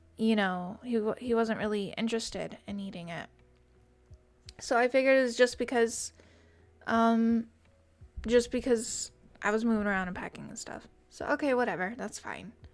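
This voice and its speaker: Music plays behind a woman with a fairly high pitch and fairly even intonation. She keeps a moderate pace with long, frequent pauses and big swings in loudness. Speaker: vtuber streamer. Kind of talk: casual chat.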